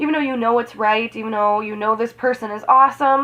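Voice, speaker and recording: Her intonation rises and falls in a typical way. The speaker is a woman. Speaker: tarot reader. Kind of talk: astrology reading. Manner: casual, rambling; fast.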